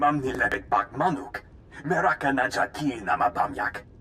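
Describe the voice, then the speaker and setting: A man puts on a character voice at medium pitch. He keeps a moderate pace over clear background noise. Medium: video game. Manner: speaks in alien language.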